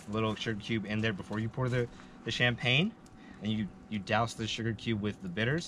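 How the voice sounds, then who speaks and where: A man speaks fairly quickly with fairly even intonation, light background noise behind him. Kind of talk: casual drink-pairing explanation. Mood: friendly, relaxed. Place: open country.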